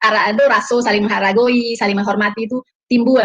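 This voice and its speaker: The speaker has a Minangkabau accent, a somewhat breathy voice and fairly even intonation. The sound is dry and close, with no echo. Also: woman. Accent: Minang. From West Sumatra, Payakumbuh (Minang). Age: 50s. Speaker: testimony guest, convert. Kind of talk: casual chat.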